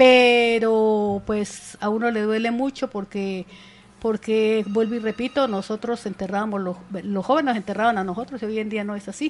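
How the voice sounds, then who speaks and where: Moderately paced female speech, fairly high in pitch and fairly even in intonation. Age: 60s. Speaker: community leader. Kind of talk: radio interview. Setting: radio studio.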